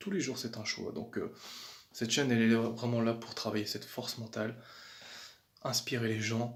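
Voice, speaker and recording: A somewhat breathy voice carries a calm tone and fairly even intonation. Long, frequent pauses break up the speech. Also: man, medium pitch for a man, moderate pace. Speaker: fitness vlogger. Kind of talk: casual vlog talk. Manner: hesitant, repeats words.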